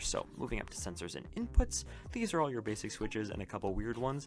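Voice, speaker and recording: With music playing behind him, a man speaks very fast with lively intonation. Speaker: gaming YouTuber. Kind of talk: tutorial. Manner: casual.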